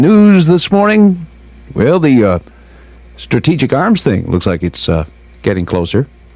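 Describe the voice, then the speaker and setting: A man talks with an American accent and very wide pitch swings. The sound is dry, with no echo. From Tennessee, USA. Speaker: radio morning show DJ. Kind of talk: radio DJ patter on air. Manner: upbeat, friendly, fast. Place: studio. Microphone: old recording.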